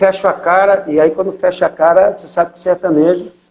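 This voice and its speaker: The voice has a São Paulo accent and a dark, mellow tone. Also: man. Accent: São Paulo accent, noticed by locals. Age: 60s. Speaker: missionary pastor. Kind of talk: interview testimony.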